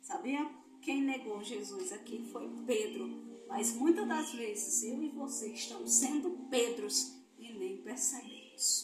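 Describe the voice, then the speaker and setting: A woman with a Brazilian accent speaks at a very slow pace, with big swings in loudness. Music plays in the background, and there is audible room echo. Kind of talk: Bible quiz with preaching. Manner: animated.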